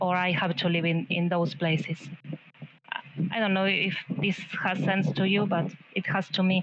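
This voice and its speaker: A woman's voice with very even loudness, fairly even intonation, and long, frequent pauses. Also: medium pitch for a woman, moderate pace. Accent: non-native. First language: not English. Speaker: artist in residency. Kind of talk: art critique discussion. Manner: halting.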